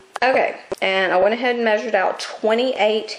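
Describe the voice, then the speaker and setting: Noticeable background noise behind a woman speaking at a fairly slow pace, with ordinary pitch variation. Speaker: craft tutorial maker. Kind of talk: tutorial. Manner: casual, chatty.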